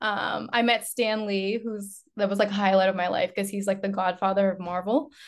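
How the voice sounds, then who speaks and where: A woman with an American accent has a normal speaking voice at medium pitch. She talks at a fairly quick pace with hardly any pauses and fairly even intonation. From Lynn, Massachusetts, US. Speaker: nurse, model and dancer. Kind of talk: casual chat.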